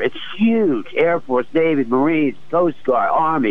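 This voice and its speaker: Speaking with an American accent, a man has an unremarkable speaking voice, fairly high in pitch, with lively intonation. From Philadelphia. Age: 60s. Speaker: retired Navy veteran, caller. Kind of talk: call-in radio conversation.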